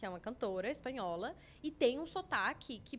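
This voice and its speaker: A woman with a Paraná accent speaks at a fairly high pitch and a moderate pace. Her pitch swings very widely. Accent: Paraná accent, strongly rolled R. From Brazil, Paraná. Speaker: language school representative. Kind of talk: podcast interview.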